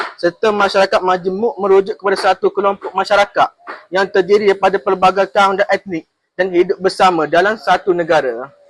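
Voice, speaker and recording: The dry, close sound carries no echo as a man with a high pitch talks at a fairly quick pace, his intonation fairly even and his loudness very even. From Kelantan, Malaysia. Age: young. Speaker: vocational college student. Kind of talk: interview answers.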